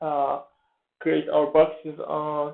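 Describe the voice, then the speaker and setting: Very slowly and in a flat monotone, a man with a Persian accent speaks at a fairly high pitch. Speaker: forex trader. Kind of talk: tutorial. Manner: halting, many fillers.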